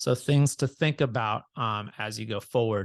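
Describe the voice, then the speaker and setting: In a normal speaking voice, a man talks at a moderate pace with ordinary pitch variation, the sound dry and close with no echo over a quiet background. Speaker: real estate agent trainer. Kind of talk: training session. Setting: video call.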